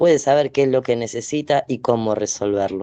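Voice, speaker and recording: The voice has a dark, mellow tone and fairly even intonation at a fairly slow pace. The sound is dry and close with no echo. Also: man. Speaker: event moderator. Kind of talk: panel discussion.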